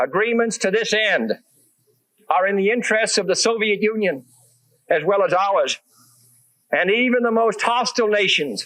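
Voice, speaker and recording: Moderate in pace with long, frequent pauses, a man with an American accent talks in a high pitch, a bright, sharp tone, very even loudness and ordinary pitch variation. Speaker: president. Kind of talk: political speech.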